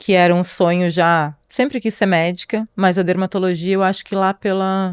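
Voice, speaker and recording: At a moderate pace, an unremarkable speaking voice delivers fairly even intonation in a very clean recording with a silent background and a dry, close sound with no echo. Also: woman, medium pitch for a woman. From southern Brazil, Pelotas, Rio Grande do Sul. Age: 40s. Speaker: dermatologist. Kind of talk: interview podcast.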